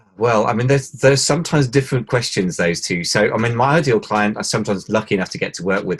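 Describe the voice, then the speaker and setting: A man talks with an English accent. His pace is very fast. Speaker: e-commerce consultant and podcast host. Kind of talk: podcast interview. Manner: hesitant, with many fillers.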